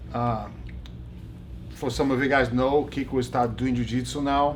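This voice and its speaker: Here a man speaks in a Brazilian accent. There is audible room echo. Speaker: jiu-jitsu instructor and interviewer. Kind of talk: casual interview. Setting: backstage.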